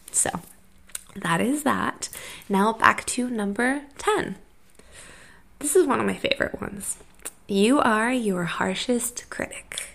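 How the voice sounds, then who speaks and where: With an American accent, the speaker talks at a very slow pace with ordinary pitch variation and long, frequent pauses. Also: woman, fairly high pitch for a woman. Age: 20s. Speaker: podcast host. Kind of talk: solo monologue podcast. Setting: sitting on floor of rented room.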